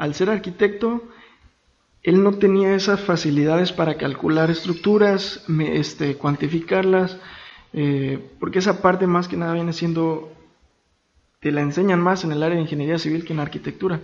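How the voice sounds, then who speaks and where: A man speaks at a moderate pace in a high voice with fairly even intonation. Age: 20s. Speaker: civil engineer. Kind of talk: casual interview chat.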